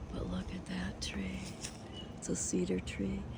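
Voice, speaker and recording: A woman at a moderate pace, with audible echo from the room. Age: 60s. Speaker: vlogger. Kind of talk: casual vlog walkthrough. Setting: outdoors.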